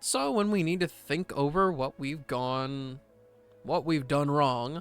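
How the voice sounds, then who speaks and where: Music plays in the background as a man speaks at a very slow pace. His voice is fairly high, with ordinary pitch variation. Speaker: voice actor streamer. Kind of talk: casual livestream chat reading aloud. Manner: loud, animated.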